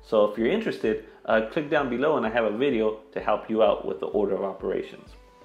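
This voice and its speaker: Faint music plays behind a man talking at a fairly quick pace. The room echo is audible. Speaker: math teacher. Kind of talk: tutorial. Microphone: lapel.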